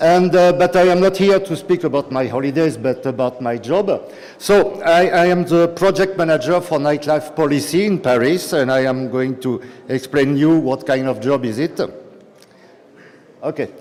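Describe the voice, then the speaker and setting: A man with a fairly high pitch and a strong French accent speaks over noticeable background noise. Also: ordinary pitch variation, moderate pace. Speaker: city nightlife policy official. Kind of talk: conference talk. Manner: halting, many fillers.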